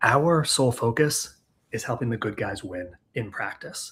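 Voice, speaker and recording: A man of medium pitch talks in a somewhat breathy voice with an American accent. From New York. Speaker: chiropractic practice consultant and speaker. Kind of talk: webinar presentation. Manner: fast.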